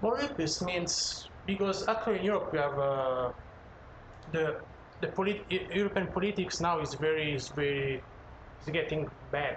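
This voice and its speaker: A man's high-pitched voice at a moderate pace, with ordinary pitch variation, noticeable background noise and audible room echo. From Italy. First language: Italian (speaking Chinese). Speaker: chef. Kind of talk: casual chat. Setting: home living room.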